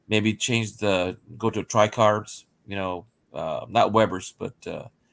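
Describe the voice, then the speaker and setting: Dry and close with no echo, a man's voice holds a fairly low pitch and fairly even intonation. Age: 60s. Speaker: teacher near retirement, car enthusiast. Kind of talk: casual chat. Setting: live stream. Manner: halting, many fillers.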